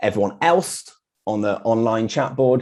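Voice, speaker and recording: With a British accent, a man speaks fairly quickly in a dark, mellow tone. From UK. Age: 40s. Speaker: graphic designer. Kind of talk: meetup talk with slides.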